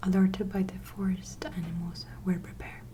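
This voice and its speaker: A soft-spoken voice talks at a fairly slow pace. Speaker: ASMR creator. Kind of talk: bedtime story reading.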